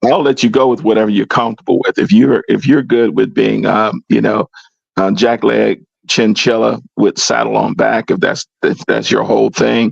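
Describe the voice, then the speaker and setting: At a moderate pace and very even loudness, a man speaks with a dry, close sound with no echo. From US South, Georgia (Jefferson County). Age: 60s. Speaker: discussion panelist. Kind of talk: casual chat. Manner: animated.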